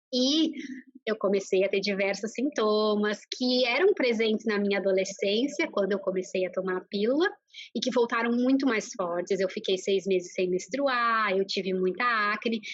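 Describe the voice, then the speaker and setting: With a Brazilian accent, a woman speaks at a moderate pace and a fairly high pitch, showing ordinary pitch variation and very even loudness. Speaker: nutritionist. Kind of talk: interview. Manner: hesitant, many fillers.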